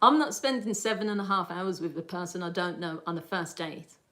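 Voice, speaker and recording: A woman's medium-pitched voice with a Birmingham accent, lively intonation, an animated tone and a fairly quick pace. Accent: Birmingham (Brummie) English. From Birmingham, England. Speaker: lifestyle livestreamer. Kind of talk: casual livestream chat. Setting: livestream.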